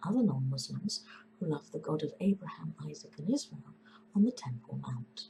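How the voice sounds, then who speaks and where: A woman speaks with an English accent. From England. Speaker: composer. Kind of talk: opinion statement to camera.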